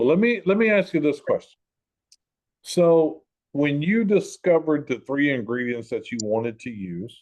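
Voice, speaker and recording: With a Southern US accent, a man speaks at a moderate pace in a fairly high voice with very wide pitch swings against a quiet background. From US South. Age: 60s. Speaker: show host. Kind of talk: interview. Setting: group call.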